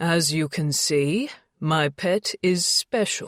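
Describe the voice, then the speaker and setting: A booming, put-on character voice at a middle pitch, very clean recording with a silent background. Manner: commanding, proud.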